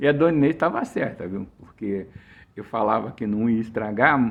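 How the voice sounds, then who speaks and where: This man speaks with a Brazilian accent and very wide pitch swings. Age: 60s. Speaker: author. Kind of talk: casual chat. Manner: halting.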